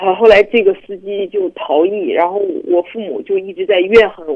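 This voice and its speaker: A woman with a normal speaking voice, a medium pitch, lively intonation and a moderate pace. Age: 20s. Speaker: caller. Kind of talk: phone-in counselling conversation.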